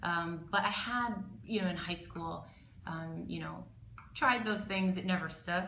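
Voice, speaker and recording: The speech comes at a fairly slow pace with ordinary pitch variation. Audible room echo and noticeable background noise surround it. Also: woman, fairly low pitch for a woman. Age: 20s. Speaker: eating disorder survivor, panelist. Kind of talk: personal testimony. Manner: halting, many fillers.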